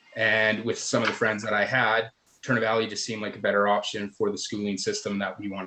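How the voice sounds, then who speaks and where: Speaking very fast, a man with a Canadian accent talks in a fairly low pitch. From southern Alberta, Canada. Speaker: council candidate. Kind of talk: candidate forum introduction speech.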